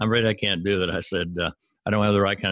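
In a Southern US accent, a man speaks very fast with a very deep, low voice and fairly even intonation. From US South, Arkansas. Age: 70s. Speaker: author and former professor. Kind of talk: interview. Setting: remote call.

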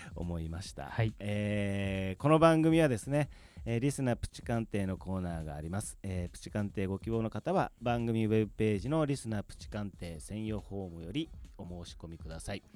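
A man speaks at a moderate pace in a fairly low pitch. His loudness swings widely. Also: lively intonation. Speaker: stand-in radio assistant, podcast company head. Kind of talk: casual chat. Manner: laughing, unpolished delivery.

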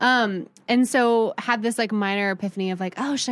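Using an ordinary speaking voice, a woman with an American accent talks at a fairly quick pace with ordinary pitch variation, on a very clean recording with a silent background. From Midwest US (Columbus, Ohio). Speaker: writer and editor. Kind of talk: casual interview.

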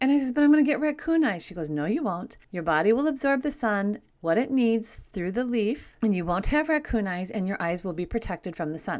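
The recording is very clean with a silent background. A woman speaks at a fairly quick pace with hardly any pauses, in a fairly high pitch with very wide pitch swings. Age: old. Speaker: radio show host, homeopathy educator. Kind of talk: casual talk show monologue. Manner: chatty, laughs often.

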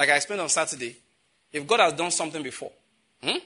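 In a bright, sharp tone, a man talks at a very fast pace with a fairly high pitch and lively intonation. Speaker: preacher. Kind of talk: sermon. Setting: church. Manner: animated.

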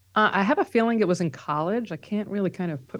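A woman speaks in a New York accent at a fairly quick pace. Her intonation is lively. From New York (Bronx, Long Island). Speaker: psychotherapist and professor. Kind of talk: interview.

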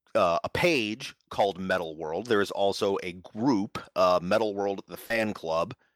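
In an American accent, a man with a fairly low pitch comes through a dry, close sound with no echo on a very clean recording with a silent background. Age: 40s. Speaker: game designer and publisher. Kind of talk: interview.

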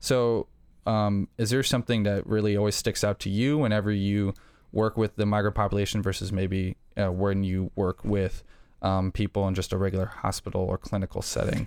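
A man's fairly low voice in a flat monotone, dry and close with no echo, on a very clean recording with a silent background. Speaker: medical student. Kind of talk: casual interview discussion. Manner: friendly, hesitant with fillers.

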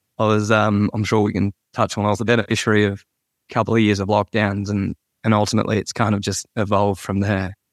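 In a very clean recording with a silent background and a dry, close sound with no echo, a man with an Australian accent talks at a fairly quick pace in a fairly low pitch with monotone, flat intonation. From Australia, Sydney. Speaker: agriculture podcast host and ag tech worker. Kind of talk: interview conversation.

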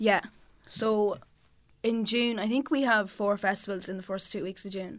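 A woman's medium-pitched voice in a Cavan accent, with ordinary pitch variation, a moderate pace and long, frequent pauses, on a very clean recording with a silent background. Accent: Irish, Cavan. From Ireland, County Cavan. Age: 20s. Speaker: singer-songwriter. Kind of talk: casual chat. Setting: studio.

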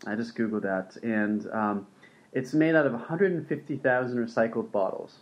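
A man with a plain, everyday voice, medium pitch and lively intonation. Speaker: podcast host. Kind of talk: casual interview.

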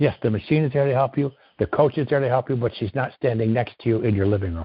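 The voice is somewhat breathy and moves at a very fast pace. Its pitch varies in an ordinary way. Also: man. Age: 60s. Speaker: retired concrete worker, knee surgery patient. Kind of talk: interview.

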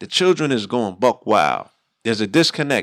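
A man talks at a fairly quick pace in an animated tone. The recording is very clean, with a silent background. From New York, the Bronx. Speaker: radio host and hip-hop artist. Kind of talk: casual chat.

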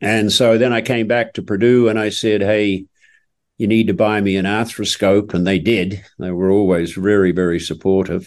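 A fairly low-pitched man with a New Zealand accent, at a moderate pace with fairly even intonation, against a quiet background. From New Zealand, South Island. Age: 70s. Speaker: equine orthopedic surgeon. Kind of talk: interview storytelling.

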